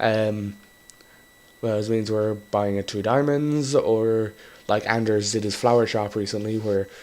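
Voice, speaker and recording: A man's fairly low voice with long, frequent pauses, over noticeable background noise. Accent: Irish. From Ireland. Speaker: gaming YouTuber. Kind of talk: casual gameplay commentary. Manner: rambling, hesitant with fillers.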